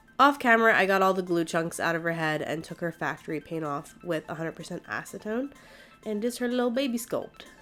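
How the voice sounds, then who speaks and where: With music playing in the background, a woman talks at a fairly quick pace with lively intonation. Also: medium pitch for a woman. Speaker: doll customizer. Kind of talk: tutorial. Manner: casual.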